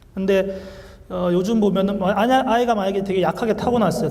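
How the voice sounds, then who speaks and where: A man with a high-pitched voice, audible room echo and noticeable background noise. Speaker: Korean medicine doctor. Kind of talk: lecture. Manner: fast.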